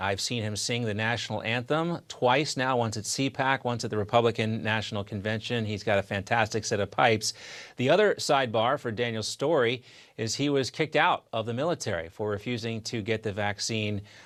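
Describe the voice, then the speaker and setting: Against a quiet background, an ordinary speaking voice goes at a fairly quick pace, its pitch varying in an ordinary way. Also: man, medium pitch for a man. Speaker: TV news host. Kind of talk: TV news interview. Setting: TV studio.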